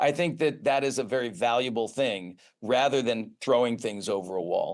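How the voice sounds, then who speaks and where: A man uses a normal speaking voice at a medium pitch with ordinary pitch variation against a quiet background. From US Northeast, Boston area. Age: 60s. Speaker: pharmaceutical research executive, former professor. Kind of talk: interview.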